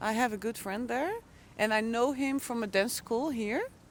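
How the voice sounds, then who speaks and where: A woman's fairly high voice with a Dutch accent. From Netherlands, Hoofddorp near Amsterdam. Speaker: intercultural coach. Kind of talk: casual chat. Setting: outdoors.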